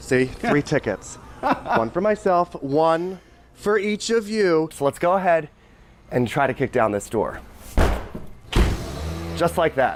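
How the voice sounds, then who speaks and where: Against noticeable background noise, a fairly high-pitched man talks at a fairly slow pace with long, frequent pauses, very wide pitch swings and very even loudness. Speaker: TV news reporter. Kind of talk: live TV news report, on-location reporting.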